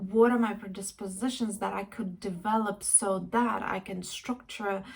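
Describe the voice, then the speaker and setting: At a fairly slow pace, a woman speaks with a medium pitch, fairly even intonation, and a somewhat breathy quality. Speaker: life and career coach. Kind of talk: casual reflective talk to camera. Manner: hesitant, with many fillers.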